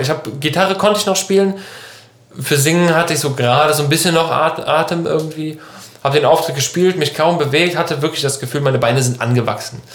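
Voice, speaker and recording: A man talks with ordinary pitch variation. Audible room echo and noticeable background noise surround his voice. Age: 20s. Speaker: podcast host and band musician. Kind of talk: casual chat.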